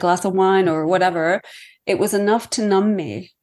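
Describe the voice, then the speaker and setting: At a moderate pace, a woman with an ordinary speaking voice talks at a medium pitch with ordinary pitch variation over a quiet background. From Iceland, raised partly in Canada. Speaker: author. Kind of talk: interview conversation.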